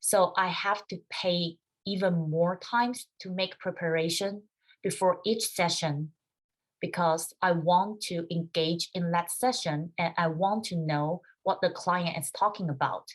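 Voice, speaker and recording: This woman has a Chinese accent and a fairly low pitch. Her intonation stays fairly even. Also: fairly slow pace. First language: Mandarin Chinese. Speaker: music doctoral student. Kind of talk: webinar presentation.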